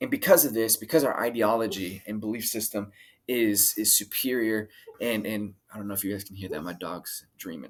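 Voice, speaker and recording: A man's fairly low voice at a fairly quick pace, with big swings in loudness. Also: ordinary pitch variation. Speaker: political commentary podcaster. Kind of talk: casual monologue.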